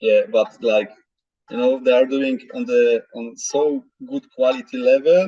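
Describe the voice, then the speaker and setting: The speaker is a man with a Polish accent. His pace is fairly slow. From Poland (Masuria). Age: 40s. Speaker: special forces veteran. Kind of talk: interview. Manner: halting.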